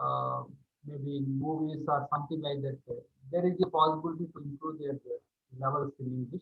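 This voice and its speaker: A man with an Indian accent speaks at a fairly quick pace. His fairly high voice has monotone, flat intonation. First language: Indian language. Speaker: teacher. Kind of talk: video call class discussion. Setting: video call. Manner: halting.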